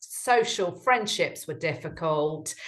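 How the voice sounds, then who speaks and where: A woman with a British accent at a fairly slow pace, with ordinary pitch variation. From UK. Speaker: relationship coach. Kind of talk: interview.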